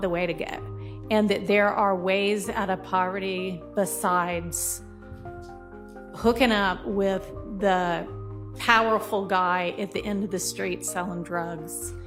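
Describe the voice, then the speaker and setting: Music can be heard behind a woman. She talks at a very slow pace. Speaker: judge. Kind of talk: courtroom address from the bench.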